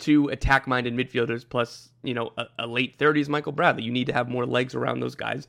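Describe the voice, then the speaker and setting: Very fast male speech with vocal fry and fairly even intonation on a very clean recording with a silent background. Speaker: soccer podcast host. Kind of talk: solo podcast monologue.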